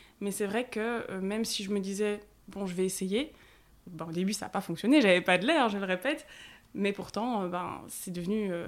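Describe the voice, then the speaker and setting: A woman with an ordinary speaking voice talks at a moderate pace in a medium pitch with ordinary pitch variation, in a very clean recording with a silent background. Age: 20s. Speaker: content creator and mother sharing breastfeeding story. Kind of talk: testimony. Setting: face-to-face at the host's home.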